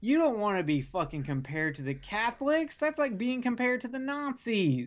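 A man talks at a fairly quick pace. His pitch is extremely high, with very wide swings. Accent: Southern US. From US South (South Carolina and Alabama). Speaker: podcast host from another show. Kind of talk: casual chat.

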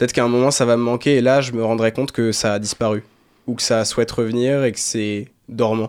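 In monotone, flat intonation, a man talks at a medium pitch. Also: fairly quick pace. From Brittany, near Saint-Malo. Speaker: dance student. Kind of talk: radio interview.

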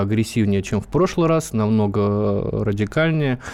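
The voice is a normal speaking voice. A man speaks at a fairly low pitch and a moderate pace. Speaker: special correspondent. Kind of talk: radio discussion. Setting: studio.

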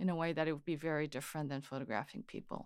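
A Korean accent in a very clean recording with a silent background. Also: woman. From Korea (Seoul), then California from age 13. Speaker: photographer and photography teacher. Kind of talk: interview.

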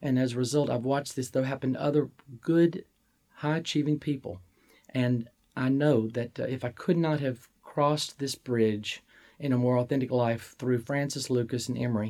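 With a Southern US accent, a man speaks in a dark, mellow tone at medium pitch and a moderate pace, his intonation fairly even. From Mississippi, US Deep South. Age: 50s. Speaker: college administrator. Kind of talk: interview.

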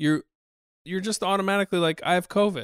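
The speaker is a man. His voice sounds dry and close with no echo. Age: 40s. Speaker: podcast co-host. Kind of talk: casual chat. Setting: studio.

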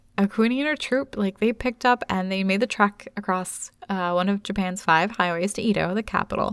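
A woman with an ordinary speaking voice talks fairly quickly in a medium pitch, with ordinary pitch variation and hardly any pauses. The sound is dry and close with no echo, in a very clean recording with a silent background. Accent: American. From United States. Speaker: podcast co-host. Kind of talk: casual chat.

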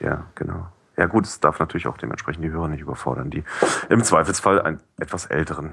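Talking at a very fast pace, a man shows ordinary pitch variation and big swings in loudness. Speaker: podcast curator and newspaper employee. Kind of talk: casual chat. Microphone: cheap headset with high noise.

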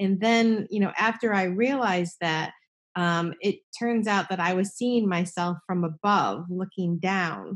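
In a normal speaking voice, a woman talks at a medium pitch and a fairly slow pace, with very even loudness and fairly even intonation against a quiet background. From New Jersey. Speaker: estate planning attorney. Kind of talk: casual interview.

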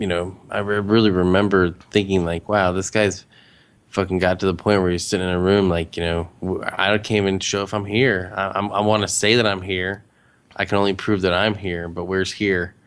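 A man speaks at a moderate pace in a very deep, low pitch. His intonation is flat and monotone. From US Midwest, Cincinnati, Ohio suburbs. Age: 30s. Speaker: podcaster. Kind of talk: casual chat.

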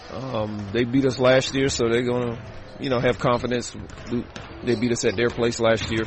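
The intonation is monotone and flat. Noticeable background noise runs beneath the voice. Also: man, medium pitch for a man, moderate pace. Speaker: college basketball head coach. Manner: relaxed, hesitant with fillers.

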